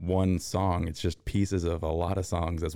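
A man with a very deep, low voice and a dark, mellow tone. He talks at a moderate pace with fairly even intonation. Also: very clean recording, silent background. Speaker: podcast co-host. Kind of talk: casual chat.

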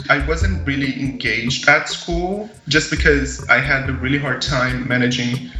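The speaker is a man. He has a Brazilian accent. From Brazil, Minas Gerais countryside. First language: Portuguese. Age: 20s. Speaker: young agriculture ambassador and student. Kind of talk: interview storytelling.

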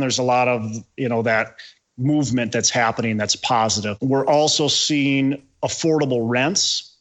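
In a plain, everyday voice, a man of medium pitch talks at a moderate pace with fairly even intonation. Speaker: real estate investor, former teacher. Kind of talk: podcast interview.

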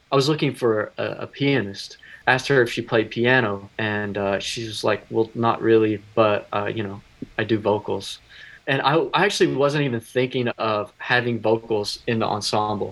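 At a moderate pace, the man talks with an unremarkable speaking voice, his medium pitch varying in an ordinary way. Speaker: musician. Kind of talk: casual interview.

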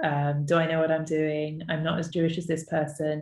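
Someone with a London accent speaks in a monotone, flat way that is somewhat breathy. The background is quiet. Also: woman. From North West London, England. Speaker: podcast host and entrepreneur. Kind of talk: personal storytelling monologue. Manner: conversational with frequent fillers.

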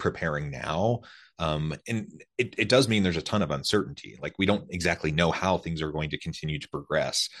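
Over a quiet background, a man talks at a fairly quick pace in a very deep, low voice. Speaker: podcast host. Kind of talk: interview conversation. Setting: remote call.

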